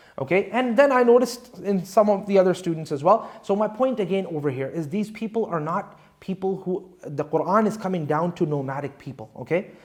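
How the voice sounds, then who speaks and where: With a high pitch and lively intonation, a man talks at a fairly quick pace with hardly any pauses. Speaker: Islamic scholar, Quran teacher. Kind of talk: lecture. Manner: conversational.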